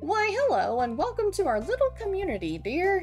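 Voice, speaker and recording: An extremely high-pitched, put-on character voice moves at a moderate pace over clear background music. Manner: warm, grandmotherly.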